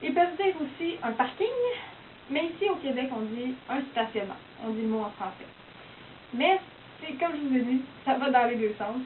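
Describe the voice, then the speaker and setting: A high-pitched woman talks at a moderate pace with lively intonation and long, frequent pauses. Noticeable background noise sits behind her. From Quebec. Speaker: university student. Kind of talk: casual explanatory monologue.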